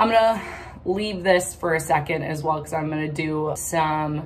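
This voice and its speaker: Light background noise is heard as a woman speaks at a moderate pace with ordinary pitch variation. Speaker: vlogger. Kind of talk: casual makeup tutorial chat. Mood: playful, self-deprecating. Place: bathroom. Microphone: phone near.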